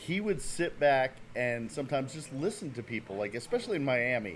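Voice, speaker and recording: A medium-pitched man with a New Jersey accent at a moderate pace. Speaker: podcast co-host. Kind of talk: casual chat.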